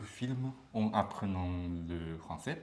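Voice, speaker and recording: The man talks at a very slow pace. His voice is somewhat breathy. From Japan, Beppu (Kyushu). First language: Japanese (speaking French). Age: 30s. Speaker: language student. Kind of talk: interview. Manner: halting.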